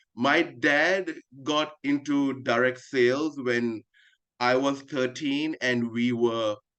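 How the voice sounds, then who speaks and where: Very slow and very even in loudness, a man talks at a medium pitch with fairly even intonation. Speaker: marketing executive. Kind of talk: video call presentation. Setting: video call.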